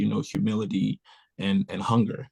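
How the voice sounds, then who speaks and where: The recording is dry and close, with no echo. A man speaks at a fairly quick pace. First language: French. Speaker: recording artist. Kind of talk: panel interview.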